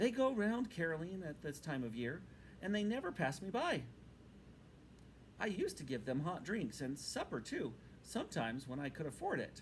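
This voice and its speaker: Over clear background noise, a man puts on a timid character voice, high in pitch, at a moderate pace with long, frequent pauses. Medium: read story. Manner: timid, fretful.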